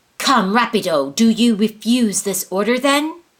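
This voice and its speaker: In a put-on character voice, a female-sounding speaker at a fairly high pitch hisses and growls at a moderate pace. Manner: hissing, angry, commanding.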